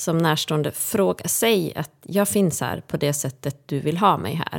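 A woman speaks at a fairly slow pace in a fairly low pitch. She has an unremarkable speaking voice. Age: 40s. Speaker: podcaster, friend and caregiver. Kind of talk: casual interview. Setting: studio.

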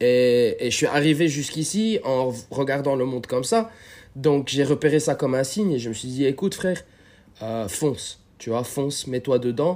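The pace here is moderate. It is a normal speaking voice, and its pitch varies in an ordinary way. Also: man, fairly high pitch for a man. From Lebanon. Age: 20s. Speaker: street workout athlete. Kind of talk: casual chat.

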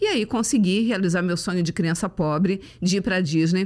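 A woman's normal speaking voice at medium pitch, with fairly even intonation. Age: 50s. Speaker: motivational speaker. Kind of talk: casual chat.

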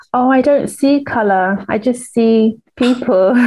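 With a British accent, a woman talks using fairly even intonation. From Uganda. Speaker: podcast host and scientist. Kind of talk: interview conversation. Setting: video call.

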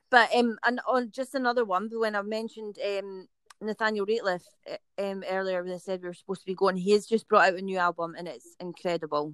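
In a strong Scottish accent, a woman talks at a very fast pace and medium pitch with ordinary pitch variation and big swings in loudness, the sound dry and close with no echo. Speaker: band singer. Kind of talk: casual interview chat.

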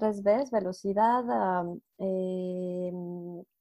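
Here is a woman speaking. Her voice has a dark, mellow tone. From Mexico City. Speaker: data scientist and podcast co-host. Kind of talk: casual chat. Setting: live video call.

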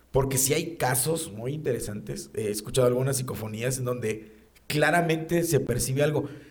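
A man with a Mexican accent talks at a fairly quick pace in a somewhat breathy voice, his pitch varying in an ordinary way, with audible room echo around him. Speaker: podcast host. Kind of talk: casual chat.

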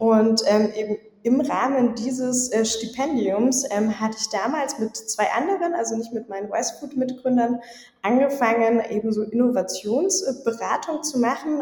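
Against noticeable background noise, a woman speaks in a fairly high voice with ordinary pitch variation. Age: 20s. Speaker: startup co-founder and sales lead. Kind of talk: interview. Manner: hesitant with many fillers.

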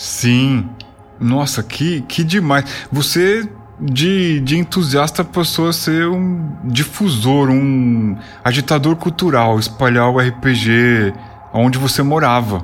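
A man with a fairly high voice speaks very slowly, his intonation lively and his loudness very even. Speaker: podcast host. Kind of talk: casual interview. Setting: online call recorded on Discord.

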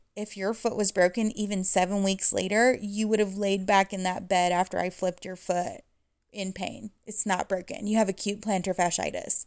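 A woman with an unremarkable speaking voice talks at a medium pitch and a moderate pace, with fairly even intonation. The recording is very clean, with a silent background. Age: 40s. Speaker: podcast host and small business owner. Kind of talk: casual monologue.

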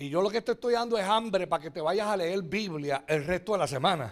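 The recording is very clean, with a silent background, as a man speaks in a high, animated voice. He moves at a fairly quick pace with lively intonation. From Puerto Rico. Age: 60s. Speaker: pastor. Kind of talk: sermon. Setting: church.

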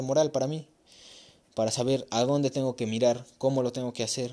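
In a very clean recording with a silent background, a man with a dark, mellow tone speaks at a fairly quick pace with fairly even intonation. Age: young. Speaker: podcast host. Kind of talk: casual chat. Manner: casual, conversational.

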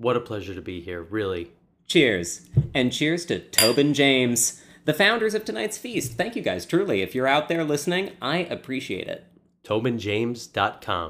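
Speaking at a moderate pace with an American accent, a man at medium pitch makes very wide pitch swings. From US Midwest, Chicago area. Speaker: podcast host. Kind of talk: casual chat. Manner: animated.

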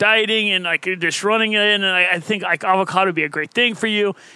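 In a dry, close recording with no echo, a man projects a raised voice that is high-pitched, bright and sharp, with fairly even intonation. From Ohio. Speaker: podcast co-host, runner. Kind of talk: casual chat.

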